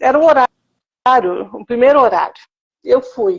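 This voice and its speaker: Her pitch moves in an ordinary way. This woman talks at a fairly slow pace. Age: 60s. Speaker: cancer survivor. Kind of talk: testimony.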